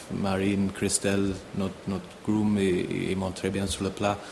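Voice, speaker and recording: A man talks at a fairly slow pace in a fairly low, monotone, flat voice. Noticeable background noise sits behind him. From Ireland, near Dublin. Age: 30s. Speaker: show jumping rider. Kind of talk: interview. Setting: on location at a stable. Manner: halting, many repetitions.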